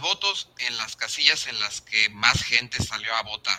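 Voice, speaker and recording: A man with a Mexican accent talks at a fairly slow pace, the sound dry and close with no echo. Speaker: podcast host. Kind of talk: interview.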